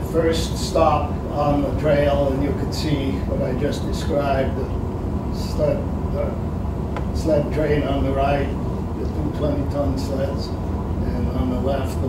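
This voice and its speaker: A man speaks at a very slow pace with audible room echo. Loud background noise fills the recording. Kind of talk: informal slide presentation. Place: meeting room.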